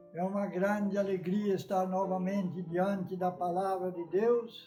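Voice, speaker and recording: Music plays in the background as a man speaks at a very slow pace. His pitch is high and his intonation fairly even. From Brazil. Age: 80s+. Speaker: Baptist preacher. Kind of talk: sermon.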